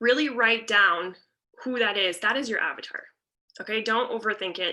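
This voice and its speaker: A woman's bright, sharp tone at a moderate pace. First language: French. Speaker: teacher and content planning coach. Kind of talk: online workshop talk. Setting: video call. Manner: casual, chatty with fillers.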